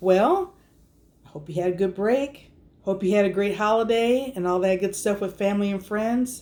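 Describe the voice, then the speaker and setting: Woman with a normal speaking voice, medium pitch, lively intonation and a moderate pace. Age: 50s. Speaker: RV camper and vlogger. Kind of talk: casual storytime talk to camera.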